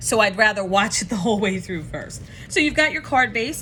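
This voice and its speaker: A woman talks at a fairly high pitch with lively intonation. Noticeable background noise runs behind her. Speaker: craft tutorial host. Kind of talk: tutorial. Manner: fast.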